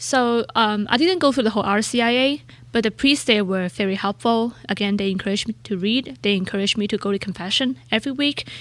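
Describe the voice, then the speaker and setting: A woman's fairly high voice at a very fast pace, with ordinary pitch variation and hardly any pauses. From Hong Kong. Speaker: researcher and church member. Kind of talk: interview testimony.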